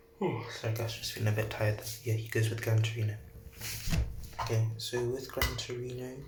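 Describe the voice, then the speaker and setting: A man at a fairly quick pace with monotone, flat intonation, long, frequent pauses, audible room echo and noticeable background noise. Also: medium pitch for a man. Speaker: YouTuber telling a fan-fiction scenario. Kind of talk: improvised storytelling monologue. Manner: halting, many fillers; quiet, soft-spoken.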